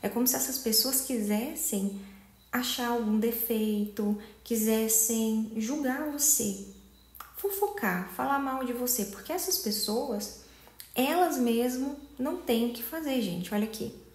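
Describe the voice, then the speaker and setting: Softly spoken, a woman talks at a very slow pace in a fairly high pitch. Her pitch variation is ordinary, and audible room echo surrounds her. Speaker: tarot reader. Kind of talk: tarot reading to camera. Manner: soft-spoken; casual, conversational.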